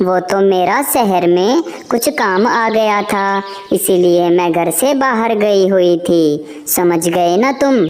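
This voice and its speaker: Clear background noise sits behind a female-sounding cartoonish character voice at a medium pitch for a woman. The delivery is fairly slow. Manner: earnest, straightforward.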